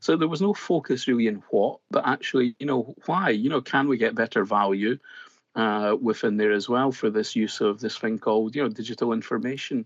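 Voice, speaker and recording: In a Scottish accent, a man talks at a fairly quick pace with very even loudness, in a dry, close sound with no echo over a quiet background. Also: medium pitch for a man, ordinary pitch variation. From Scotland. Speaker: BIM consultant. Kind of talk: casual interview.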